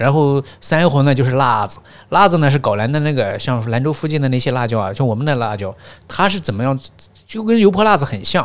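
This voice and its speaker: A man in a plain, everyday voice speaks at a fairly quick pace and fairly high pitch with lively intonation, in a very clean recording with a silent background. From northwest China, Gansu, Baiyin, Jingtai county. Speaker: podcast guest, teacher. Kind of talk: casual interview chat.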